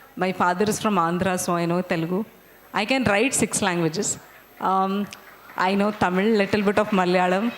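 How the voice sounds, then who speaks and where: With a Marathi accent, a woman speaks at a fairly quick pace with fairly even intonation and long, frequent pauses. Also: medium pitch for a woman, very even loudness. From India, Bangalore. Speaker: invited guest speaker. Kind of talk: casual talk to students.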